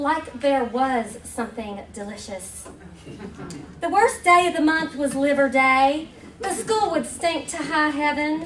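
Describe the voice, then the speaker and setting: A woman with a high pitch and an American accent speaks at a fairly slow pace, with audible room echo and noticeable background noise. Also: lively intonation. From West Virginia (Huntington). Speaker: humor writer. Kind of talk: reading aloud. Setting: stage with audience.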